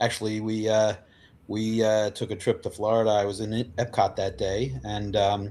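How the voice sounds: With little pitch movement, a man speaks in a slightly mellow tone at a fairly low pitch. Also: moderate pace.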